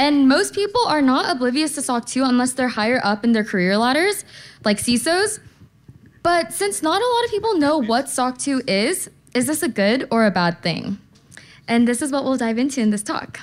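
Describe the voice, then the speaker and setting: Very wide pitch swings mark a woman's high-pitched voice. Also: moderate pace. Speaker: conference speaker. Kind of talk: conference talk. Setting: stage with audience. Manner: casual, uses slang. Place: hall. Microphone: podium.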